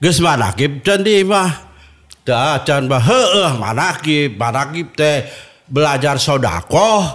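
Very slow, lively intonation from a man with a fairly high pitch. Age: 70s. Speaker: Sufi order elder. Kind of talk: interview testimony.

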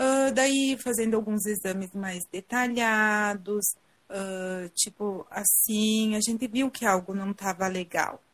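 Very slow, somewhat breathy speech with fairly even intonation. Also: woman, fairly high pitch for a woman. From southern Brazil, Rio Grande do Sul (Garibaldi). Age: 30s. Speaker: cancer survivor sharing her story. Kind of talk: live interview testimony. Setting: online live video call.

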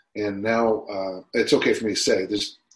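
Somewhat breathy and fairly low-pitched, a man speaks with an American accent. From US, Utah. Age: 60s. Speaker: strength and conditioning coach. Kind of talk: casual interview.

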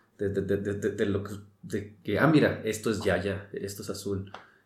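There is audible room echo around a man's somewhat breathy voice. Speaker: podcast co-host. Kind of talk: casual chat. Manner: fast.

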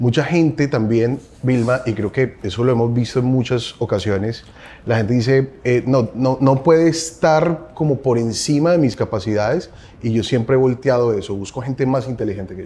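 Somewhat breathy, a man speaks at a moderate pace and a medium pitch. His tone is dark and mellow, with ordinary pitch variation. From Colombia. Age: 40s. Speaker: advertising agency CEO. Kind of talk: interview.

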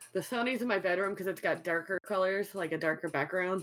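A woman speaks with an American accent in an unremarkable speaking voice. Her pitch is medium, with ordinary variation. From US South, New Orleans. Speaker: streamer. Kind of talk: casual chat.

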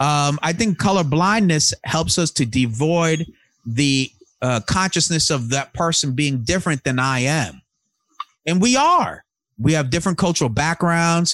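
In a plain, everyday voice, a man with a fairly high pitch talks at a moderate pace with lively intonation and very even loudness, the sound dry and close with no echo. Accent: American. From US Northeast, Long Island, New York. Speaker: podcast host. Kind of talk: casual chat.

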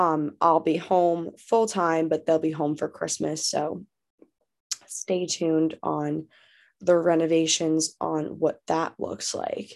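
A woman with an American accent talks at a very slow pace in a fairly low pitch with fairly even intonation, on a very clean recording with a silent background. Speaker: podcast host, law student. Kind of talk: casual solo podcast monologue. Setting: childhood bedroom, home recording.

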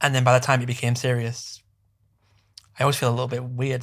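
In a West Yorkshire accent, a man rushes along at a very fast pace, his medium-pitched, somewhat breathy voice flat and monotone on a very clean recording with a silent background. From northern England, Bradford. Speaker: social media event co-founder. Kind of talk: casual interview chat.

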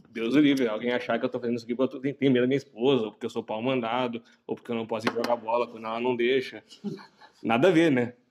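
With a southern Brazilian accent, a man talks very fast at a medium pitch with fairly even intonation. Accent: gaúcho Brazilian Portuguese. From Caxias do Sul, Rio Grande do Sul, Brazil. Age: 30s. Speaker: podcast co-host. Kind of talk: casual chat. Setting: outdoor kiosk, cold night.

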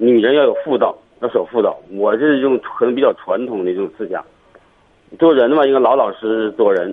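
Moderately paced speech from a man with lively intonation. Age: 40s. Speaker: caller with marriage problem. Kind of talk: phone-in call. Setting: phone call from the street. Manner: halting.

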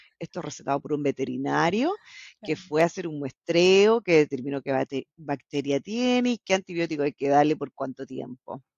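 Animated in tone, a woman speaks at a moderate pace in a very deep, low voice. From Chile (La Serena), born in Bolivia. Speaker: salmon industry scientist turned commercial professional. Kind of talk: casual interview.

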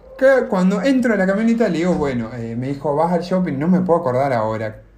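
Fairly quick speech with very wide pitch swings, audible room echo and noticeable background noise. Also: man. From Argentina. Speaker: podcast co-host. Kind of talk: casual chat, telling an anecdote. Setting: video call.

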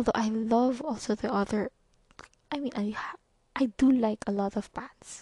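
In a Visayan Filipino accent, a woman speaks at a moderate pace with a fairly high pitch and fairly even intonation. Her dark, mellow tone is somewhat breathy, and the sound is dry and close with no echo. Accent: Filipino (Cebuano) English. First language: Cebuano. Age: 20s. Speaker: podcast host. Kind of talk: casual monologue. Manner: halting, self-described stutter; laughs often.

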